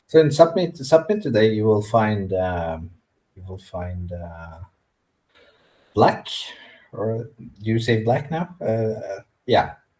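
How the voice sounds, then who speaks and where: The voice moves very slowly with long, frequent pauses, big swings in loudness, very wide pitch swings, a somewhat breathy quality and a dark, mellow tone. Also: man, medium pitch for a man. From Norway (Sámi region). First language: Norwegian or Sámi. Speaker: Sámi spiritual practitioner. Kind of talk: interview. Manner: halting.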